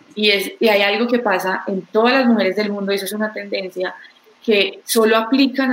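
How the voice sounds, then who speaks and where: At a moderate pace, a woman with a medium pitch speaks with fairly even intonation over noticeable background noise. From Colombia, Pereira. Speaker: tech startup co-founder. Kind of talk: interview.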